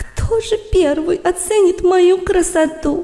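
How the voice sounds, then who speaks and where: At a fairly slow pace, a woman uses a put-on character voice with an extremely high pitch. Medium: read story.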